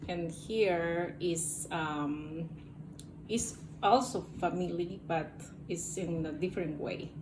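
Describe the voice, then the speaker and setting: Against noticeable background noise and audible room echo, a woman with a Spanish accent speaks very slowly in a fairly low voice with fairly even intonation. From Peru. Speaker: interviewee, medical professional. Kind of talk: interview. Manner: hesitant.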